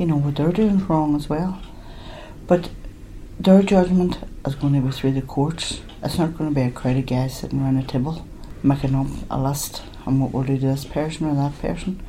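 A woman's very deep, low voice in a Derry accent, fairly quick in pace yet broken by long, frequent pauses, with audible room echo. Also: ordinary pitch variation. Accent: Northern Irish (Derry). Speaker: bereaved mother. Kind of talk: testimony.

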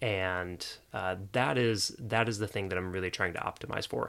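In a very clean recording with a silent background, a man with an American accent speaks with a very deep, low pitch, a bright, sharp tone and fairly even intonation. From US South, Jacksonville, Florida. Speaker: productivity teacher. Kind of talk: casual interview.

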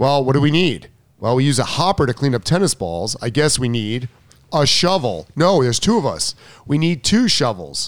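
Vocal fry at a moderate pace, with very wide pitch swings. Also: man, fairly high pitch for a man. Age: 50s. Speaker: tennis coach. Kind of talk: casual chat.

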